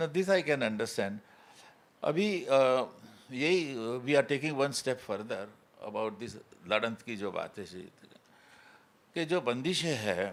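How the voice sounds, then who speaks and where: Long, frequent pauses break up this man's speech. His medium-pitched voice makes very wide pitch swings. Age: 90s. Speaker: classical musician and interviewer. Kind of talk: interview conversation. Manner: halting.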